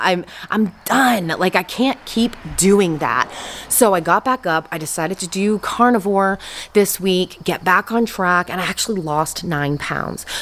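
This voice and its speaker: A woman speaks at a fairly slow pace in an ordinary speaking voice. Her pitch is medium and varies in an ordinary way. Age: 40s. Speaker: weight loss vlogger. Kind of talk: casual vlog update. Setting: garage.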